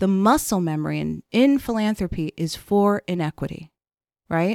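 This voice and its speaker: A woman in an unremarkable speaking voice talks at a moderate pace with ordinary pitch variation, the sound dry and close with no echo in a very clean recording over a silent background. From Chicago, South Side. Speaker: foundation president. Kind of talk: interview conversation.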